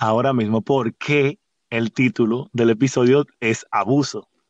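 A man is speaking. He has a Dominican accent. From Dominican Republic, San Pedro de Macorís. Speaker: podcast host. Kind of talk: casual chat. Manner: halting.

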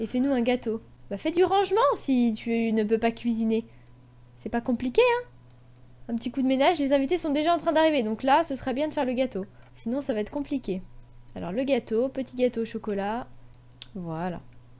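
A woman with a high pitch talks at a moderate pace. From Brittany, France. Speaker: gaming YouTuber. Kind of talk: let's play commentary. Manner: animated.

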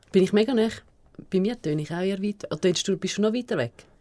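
A woman's medium-pitched voice, dark and mellow in tone, with lively intonation at a very fast pace. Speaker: radio show co-host. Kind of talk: casual radio show banter.

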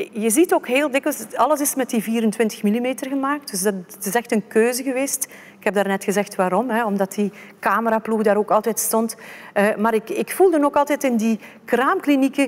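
Moderate-paced speech from a woman, her pitch varying in an ordinary way. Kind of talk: presentation talk. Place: stage.

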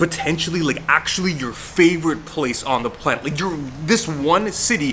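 There is light background noise as a man speaks at a moderate pace with ordinary pitch variation. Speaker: fitness vlogger. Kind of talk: casual vlog chat.

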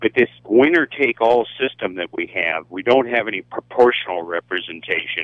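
With a plain, everyday voice at a medium pitch, a man talks at a moderate pace with lively intonation and hardly any pauses, the sound dry with no echo and the background quiet. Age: 60s. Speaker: radio caller. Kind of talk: call-in comment. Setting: phone call. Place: studio.

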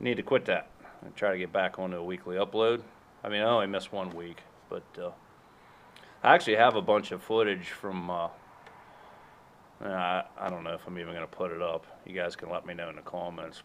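A man with a very deep, low pitch, fairly quick pace and fairly even intonation. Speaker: homestead vlogger. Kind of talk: casual vlog chat. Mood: relaxed, slightly apologetic. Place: farm machine. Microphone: phone near.

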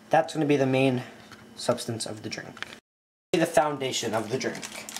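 The speaker talks at a fairly slow pace. There is light background noise. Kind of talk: casual tutorial. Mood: playful, joking. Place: kitchen. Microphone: phone near.

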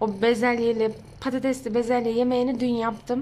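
Her voice sits high for a woman as she talks at a moderate pace. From Ankara, Turkey. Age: 20s. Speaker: home vlogger, mother. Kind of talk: casual talk to camera, daily vlog.

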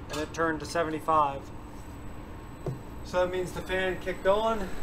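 Over noticeable background noise, a man with a high pitch talks at a fairly slow pace. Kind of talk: tutorial. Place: farm machine.

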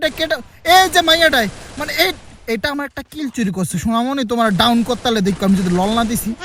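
A man shouts loudly at an extremely high pitch with lively intonation. Noticeable background noise is present. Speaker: gaming YouTuber. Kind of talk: live gameplay commentary. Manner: loud, shouting.

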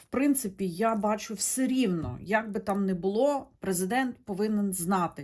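A woman at medium pitch, fairly slow in pace with hardly any pauses and ordinary pitch variation, on a very clean recording with a silent background. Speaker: tarot reader, video blogger. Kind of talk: monologue to camera, tarot reading. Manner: conversational, hesitant with fillers.

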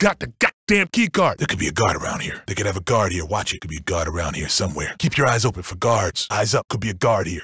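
Putting on a raspy character voice, a man rattles along at a very fast pace with fairly low pitch and hardly any pauses. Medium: video game. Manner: commanding, aggressive.

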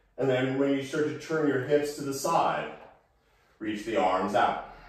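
A man with a fairly high-pitched voice speaks in strong room echo. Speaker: yoga instructor. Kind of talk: guided yoga class with calm meditative cueing. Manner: calm, slow, soothing; deliberate, gently instructive. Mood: calm, relaxed guidance. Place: home room. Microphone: camera far.

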